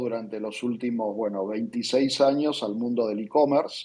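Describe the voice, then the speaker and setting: In an Argentine accent, a man speaks at a medium pitch with a dark, mellow tone and fairly even intonation. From Argentina. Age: 40s. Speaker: tech company founder and CEO. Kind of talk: interview. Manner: frequent hesitations and repetitions.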